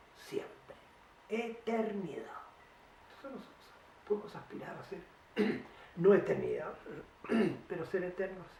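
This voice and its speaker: Pitch varies in an ordinary way as the speaker talks at a fairly slow pace. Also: man. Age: 80s+. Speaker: painter. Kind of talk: interview answer.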